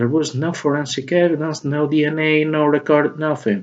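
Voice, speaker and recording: Speaking at a fairly slow pace, a man with a non-native accent uses a fairly high pitch. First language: not English. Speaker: video blogger. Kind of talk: spoken opinion monologue. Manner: halting, many fillers.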